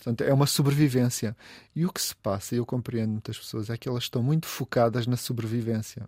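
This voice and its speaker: Talking at a very fast pace, a man with a medium pitch sounds somewhat breathy, keeps his intonation fairly even, and is heard in a dry, close sound with no echo. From Portugal, coastal Algarve (Olhão). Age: 50s. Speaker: food writer and event organizer. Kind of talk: casual interview. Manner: halting, many repetitions.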